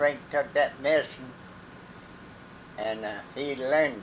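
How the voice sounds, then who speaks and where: Against noticeable background noise, a man with an American accent and a medium pitch speaks fairly slowly with fairly even intonation. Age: 80s+. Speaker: retired mill worker. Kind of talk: interview. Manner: halting.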